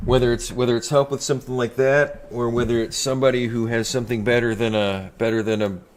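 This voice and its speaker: Over noticeable background noise, a man rattles on at a very fast pace with hardly any pauses in a monotone, flat intonation. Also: medium pitch for a man. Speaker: game streamer. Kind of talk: live gaming stream. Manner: slight lisp-like, mouth held closed.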